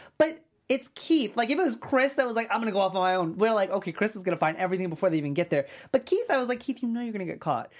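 On a very clean recording with a silent background, a man speaks in a high pitch with an animated tone, very wide pitch swings and a very fast pace. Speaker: podcast host. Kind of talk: casual chat. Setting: studio.

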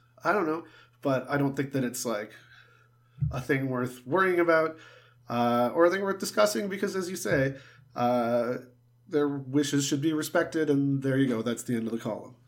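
Pitched fairly high, a man talks at a moderate pace. He leaves long, frequent pauses. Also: ordinary pitch variation. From Southern Ontario, Canada. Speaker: sports podcast co-host. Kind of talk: casual chat.

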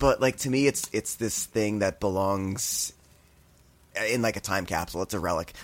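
A man talks at a moderate pace with an American accent. He has a plain, everyday voice. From New Jersey, Sayreville. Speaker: podcast host. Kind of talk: casual chat.

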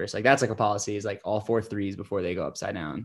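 A man with an American accent speaks at medium pitch with fairly even intonation. He has an ordinary speaking voice. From New York State, Hudson Valley. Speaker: entrepreneur and skier. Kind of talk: interview. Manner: casual, many fillers.

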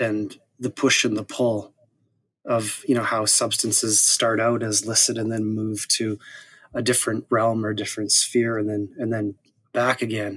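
A man speaks with an ordinary speaking voice and a Canadian accent. His pitch is medium and his pace is moderate. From Saskatoon, Canada. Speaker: historian and author. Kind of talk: interview conversation.

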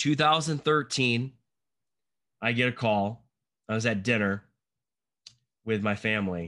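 Man with a medium pitch and bright, sharp tone, fairly slow with long, frequent pauses, very even loudness, ordinary pitch variation, quiet background. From Michigan. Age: 40s. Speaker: cinematographer. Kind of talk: casual chat.

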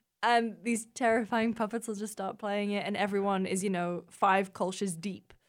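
With an American accent, a woman speaks at a medium pitch with hardly any pauses and monotone, flat intonation. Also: moderate pace. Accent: British, drifting slightly American. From northeast England. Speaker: games journalist. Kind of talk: casual chat.

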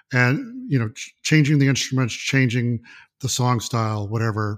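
Spoken with an American accent at a fairly quick pace, this is an unremarkable speaking voice. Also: man. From US South, Mississippi. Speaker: art photographer and music fan. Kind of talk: casual chat.

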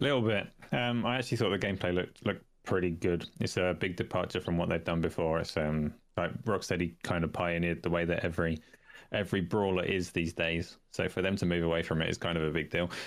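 A man's very deep, low voice with a British accent at a very fast pace, with ordinary pitch variation and very even loudness on a very clean recording with a silent background. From United Kingdom. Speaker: gaming podcast guest. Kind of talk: casual chat.

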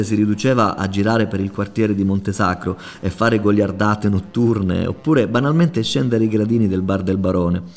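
This man talks at a fairly quick pace in a plain, everyday voice. His pitch is fairly low. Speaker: podcast host. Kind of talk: scripted narration.

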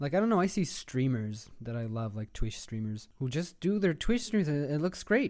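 Pitched fairly high, a man talks at a moderate pace with very wide pitch swings and hardly any pauses. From Israel, Tel Aviv. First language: Hebrew. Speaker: animator and storyboard artist. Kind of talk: casual chat.

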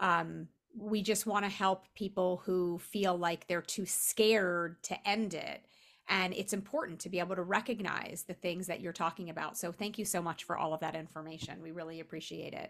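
Using an ordinary speaking voice, a woman talks at a moderate pace in a medium pitch with fairly even intonation. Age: 50s. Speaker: podcast co-host. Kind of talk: casual chat.

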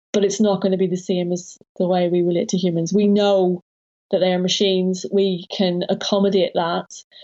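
A woman with a British accent speaks at a moderate pace and medium pitch. Her intonation is monotone and flat, and her loudness is very even. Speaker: academic author. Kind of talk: interview.

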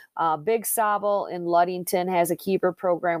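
In a very clean recording with a silent background and a dry, close sound with no echo, a woman with an Upper Midwest accent speaks at a moderate pace in a fairly low pitch with monotone, flat intonation. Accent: Upper Midwest American. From Southwest Michigan (Plainwell). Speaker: author and marketing professional. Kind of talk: interview. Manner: hesitant, many fillers.

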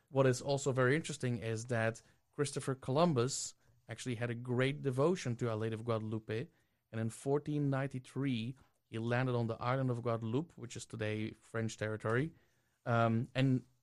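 A man talks at a fairly quick pace with a Belgian accent and a medium pitch. His intonation stays fairly even against a quiet background. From Belgium. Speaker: regular contributor. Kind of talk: casual discussion.

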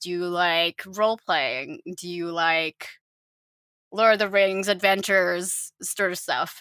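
A woman's bright, sharp voice at a fairly slow pace, dry and close with no echo, on a very clean recording with a silent background. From Finland, raised in Southeast Asia. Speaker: podcast co-host and graphic designer. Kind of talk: casual chat. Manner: giggly, frequent laughter.

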